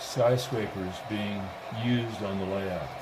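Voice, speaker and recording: Over noticeable background noise and audible room echo, a man talks at a very slow pace with fairly even intonation. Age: 80s+. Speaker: model railroad hobbyist. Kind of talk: guided tour.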